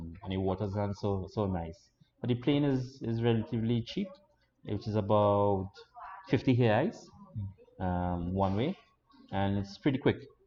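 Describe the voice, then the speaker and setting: With a Trinidadian accent, a man talks at a moderate pace in a fairly low pitch, using ordinary pitch variation and long, frequent pauses. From Trinidad and Tobago. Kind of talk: interview answer.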